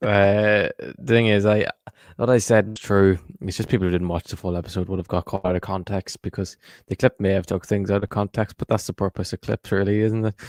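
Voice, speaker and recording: Against a quiet background, a man with an Irish accent talks at a fairly quick pace, his fairly low pitch and fairly even intonation caught in a dry, close sound with no echo. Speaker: football podcast co-host. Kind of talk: live podcast chat.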